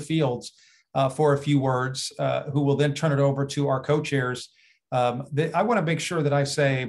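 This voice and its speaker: A somewhat breathy man at a moderate pace, with ordinary pitch variation over a quiet background. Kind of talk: formal meeting remarks. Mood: polite, appreciative. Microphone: video call.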